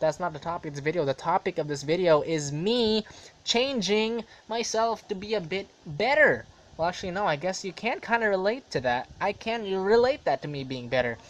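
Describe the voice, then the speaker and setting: The voice moves quickly, fairly fast in pace, with very wide swings in pitch. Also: man. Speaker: vlogger. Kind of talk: casual monologue vlog. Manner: rambling with fillers.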